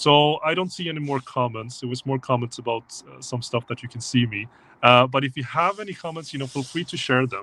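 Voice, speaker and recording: The voice moves at a fairly quick pace. Its pitch variation is ordinary. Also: man. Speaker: tech company presenter. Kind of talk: livestream talk. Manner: fast.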